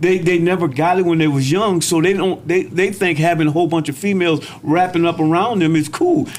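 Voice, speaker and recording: Over noticeable background noise, a man with a high pitch talks with hardly any pauses and very even loudness. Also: fairly even intonation, fairly quick pace. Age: 60s. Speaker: podcast guest. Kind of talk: casual chat.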